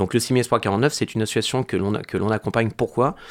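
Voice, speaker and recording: A man talks fairly quickly in a plain, everyday voice, fairly low with ordinary pitch variation. The recording is very clean, with a silent background. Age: 40s. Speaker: amateur football club president. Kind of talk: interview.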